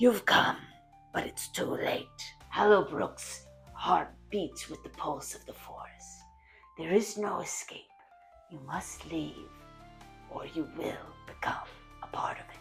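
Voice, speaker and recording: A raspy, middle-pitched put-on character voice at a fairly slow pace, with clear music in the background. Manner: eerie, ominous.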